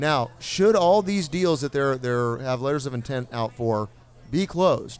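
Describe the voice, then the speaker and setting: The tone is animated. The pace is fairly slow. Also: man, fairly high pitch for a man, lively intonation. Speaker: podcast host. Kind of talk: live podcast recording with audience, casual banter. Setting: live venue with audience. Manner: animated, emcee-like.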